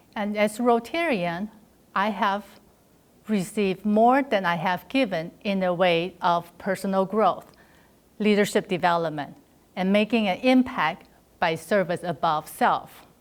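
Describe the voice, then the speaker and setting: A woman with a Chinese accent and a medium pitch talks at a fairly slow pace with ordinary pitch variation, on a very clean recording with a silent background. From China. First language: Mandarin Chinese. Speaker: district governor-elect, club volunteer. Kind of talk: prepared congratulatory speech.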